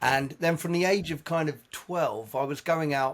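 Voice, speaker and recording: A man speaks at a fairly slow pace with an English accent. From southern England, Sussex. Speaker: jazz musician. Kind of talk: casual chat.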